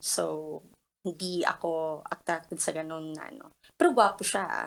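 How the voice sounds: A woman talks at a fairly slow pace. Her pitch is fairly low, with vocal fry.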